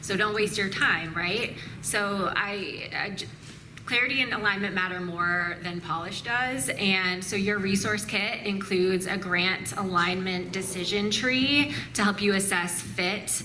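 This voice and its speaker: A woman speaks at a medium pitch and a fairly slow pace, with ordinary pitch variation. Noticeable background noise and audible room echo are present. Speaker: nonprofit grants speaker. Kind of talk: conference presentation.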